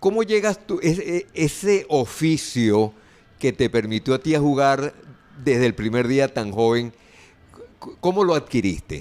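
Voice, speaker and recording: A man speaks at a fairly slow pace in a fairly high voice. His pitch swings very widely. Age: 60s. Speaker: sports radio host. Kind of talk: interview.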